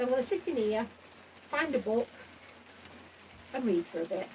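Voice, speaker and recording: Over noticeable background noise, a woman talks at a fairly quick pace with lively intonation. Her pitch is high. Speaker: allotment gardener vlogger. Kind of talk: casual vlog chat. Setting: garden shed. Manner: halting.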